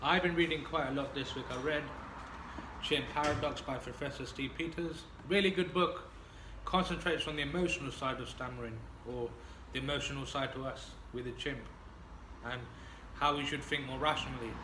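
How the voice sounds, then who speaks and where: Over noticeable background noise and audible room echo, a man with a fairly high pitch speaks at a fairly quick pace with fairly even intonation and long, frequent pauses. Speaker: person who stammers. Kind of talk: casual chat. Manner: stammering.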